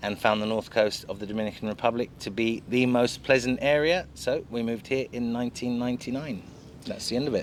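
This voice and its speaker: A man speaks with a London accent at a medium pitch. His intonation stays fairly even and his pace is fairly quick. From London, England. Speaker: real estate agent. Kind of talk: casual chat.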